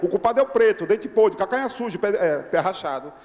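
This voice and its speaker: A man speaks in an animated tone. Background noise is noticeable. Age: 60s. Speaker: radio journalist, audience member at a public debate. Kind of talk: impassioned public comment at a debate. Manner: animated, exclamatory.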